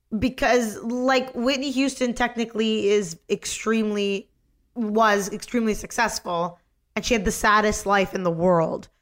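A woman with a Canadian accent speaks at a fairly high pitch and a moderate pace, with ordinary pitch variation, on a very clean recording with a silent background. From Canada. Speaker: podcast host, comedic actress. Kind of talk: casual chat. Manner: animated.

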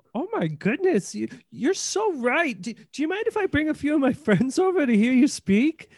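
A squeaky, high-pitched, put-on character voice with very wide pitch swings, at a moderate pace.

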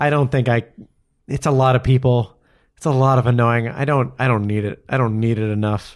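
With an ordinary speaking voice at medium pitch, a man talks fairly quickly with fairly even intonation against a quiet background. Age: 30s. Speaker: podcast host. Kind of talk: casual chat.

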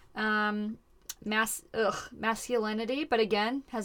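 The intonation barely rises or falls and stays fairly even. It belongs to a plain, everyday voice. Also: woman. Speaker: podcast host. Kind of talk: casual comedic chat. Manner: joking, interrupting, playful.

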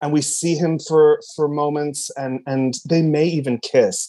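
Speaking at a moderate pace with an American accent, a man has a fairly high pitch, a dark, mellow tone and fairly even intonation. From US, military moves; Cadiz, Ohio. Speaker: old school friend, performer. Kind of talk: casual chat. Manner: halting.

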